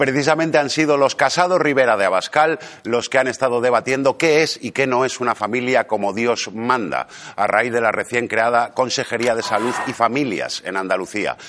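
A man of medium pitch speaks at a moderate pace, his pitch varying in an ordinary way, with noticeable background noise behind him. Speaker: comedian. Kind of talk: stand-up.

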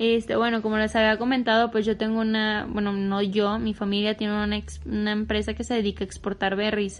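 A woman speaks in a flat monotone with hardly any pauses. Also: fairly high pitch for a woman, fairly quick pace. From Michoacán, Mexico. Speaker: agribusiness student and podcast co-host. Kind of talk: casual chat.

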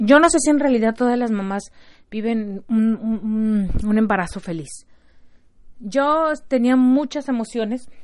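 Speech unfolds fairly slowly. The pitch shifts within a normal range. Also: woman, fairly high pitch for a woman. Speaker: podcast host and mother. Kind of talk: casual monologue. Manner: halting, with repeated words.

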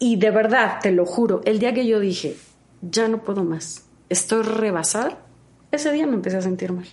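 Noticeable background noise runs behind a woman talking at a moderate pace. Her pitch is fairly high and varies in an ordinary way. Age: 40s. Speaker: health coach and vegan chef. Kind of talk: interview.

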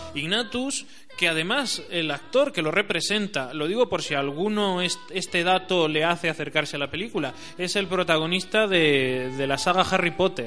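A man's high-pitched voice with lively intonation at a moderate pace, music in the background. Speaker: radio host. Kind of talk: radio show monologue. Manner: hesitant, with frequent fillers.

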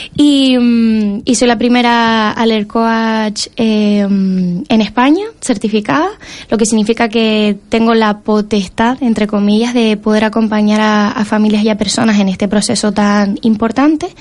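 A normal speaking voice moves at a fairly slow pace with fairly even intonation, very even loudness and hardly any pauses. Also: woman, fairly high pitch for a woman. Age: 20s. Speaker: allergy coach and entrepreneur. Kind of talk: interview.

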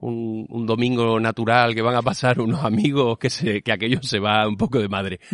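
In a dry, close sound with no echo and a quiet background, a man speaks at a medium pitch with fairly even intonation. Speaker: theatre podcast host. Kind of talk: casual interview chat. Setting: theatre stage after a show.

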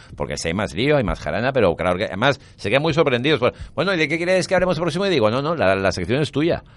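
This man's medium-pitched voice carries vocal fry and very wide pitch swings as he talks at a very fast pace with hardly any pauses over a quiet background. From Valencia, Spain. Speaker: radio host and writer. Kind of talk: interview.

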